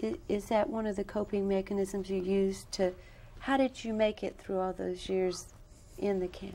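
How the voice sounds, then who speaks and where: A dark, mellow tone with fairly even intonation at a moderate pace. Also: woman. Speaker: interviewer. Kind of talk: interview. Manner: formal. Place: studio.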